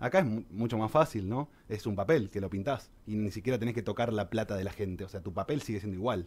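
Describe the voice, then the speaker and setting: A man speaks very fast with hardly any pauses. His voice is fairly low and somewhat breathy, with ordinary pitch variation. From Argentina. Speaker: financial advisor; guest. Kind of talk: radio interview, explanatory column. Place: studio. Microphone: studio mic.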